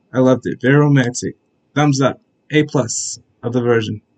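A man talks fairly quickly while the background stays quiet. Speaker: anime reaction vlogger. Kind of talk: casual vlog chat. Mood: upbeat, enthusiastic. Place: home room. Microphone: webcam.

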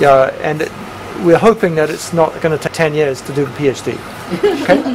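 Noticeable background noise runs under this recording. A man with a fairly high pitch speaks at a moderate pace. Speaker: professor chairing a PhD proposal defense. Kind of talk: academic panel discussion. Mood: friendly, encouraging. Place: meeting room.

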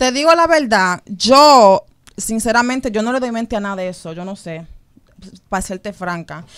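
A woman speaks at a moderate pace with lively intonation and big swings in loudness. The background is quiet. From New York. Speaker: model and singer; interview guest. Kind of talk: radio interview; interview answer. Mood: relaxed, candid. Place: studio. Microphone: studio mic.

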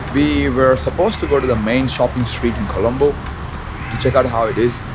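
Noticeable background noise runs under the audio. A man talks through it. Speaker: travel vlogger. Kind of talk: casual vlog chat. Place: street. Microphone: phone near.

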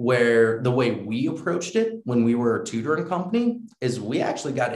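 Somewhat breathy speech in an American accent moves at a moderate pace, with audible room echo and a quiet background. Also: man. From US Northeast, New York; US Northeast. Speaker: edtech company founder and CEO; guest. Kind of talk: interview. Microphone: video call.

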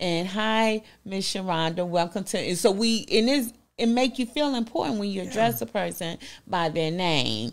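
In a Southern US accent, a woman talks with very wide pitch swings. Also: medium pitch for a woman, moderate pace. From US South. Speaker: business owner; interview guest. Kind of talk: interview. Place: studio. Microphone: handheld.

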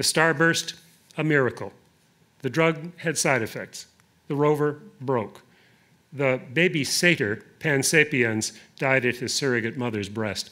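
A man speaks at a fairly slow pace with long, frequent pauses. His voice is fairly high with a bright, sharp tone, and the background is quiet. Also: ordinary pitch variation. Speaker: poet. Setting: stage with audience at a museum reading. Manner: deliberate, lyrical, unhurried with rolling cadence. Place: hall. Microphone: podium.

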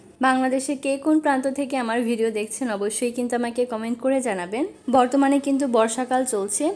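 A woman talks in a high pitch. Her intonation stays fairly even. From Bangladesh, Dhaka. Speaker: cooking vlogger. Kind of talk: casual vlog narration.

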